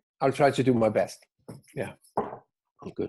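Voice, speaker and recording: A man's dark, mellow voice at medium pitch, with a Danish accent. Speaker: business consultant. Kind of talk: webinar talk. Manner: halting.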